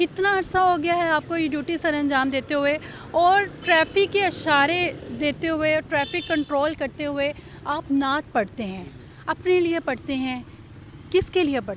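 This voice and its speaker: With ordinary pitch variation, a woman's voice stays high in pitch. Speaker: interviewer. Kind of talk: interview questions.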